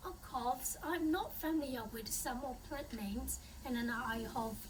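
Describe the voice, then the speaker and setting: A woman speaks at a high pitch with a Burmese accent. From Myanmar. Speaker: home gardener. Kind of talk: channel introduction to camera.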